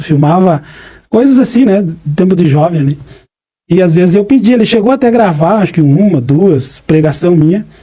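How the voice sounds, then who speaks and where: In a high voice with a dark, mellow tone, a man talks at a fairly quick pace with lively intonation. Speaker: preacher. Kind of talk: interview, personal testimony.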